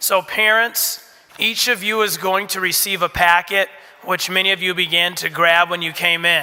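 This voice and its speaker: Through noticeable background noise, a man talks in a raised, projected voice at a high pitch. His pace is moderate and his intonation monotone and flat. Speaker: school administrator. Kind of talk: orientation talk to parents.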